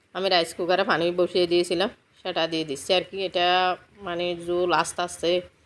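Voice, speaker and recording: Her pitch sits fairly low for a woman. The woman's intonation stays monotone and flat. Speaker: home cooking vlogger. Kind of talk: cooking vlog narration.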